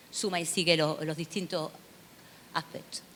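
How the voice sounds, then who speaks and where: A woman speaks with an Andalusian accent. Her tone is bright and sharp. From southern Spain, Seville. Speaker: university researcher, lecturer. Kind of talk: conference lecture. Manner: hesitant, many fillers and repetitions.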